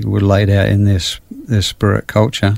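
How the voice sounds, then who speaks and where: Dark, mellow tone from a man, fairly low in pitch. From England. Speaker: missionary. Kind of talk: interview. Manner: halting, many fillers.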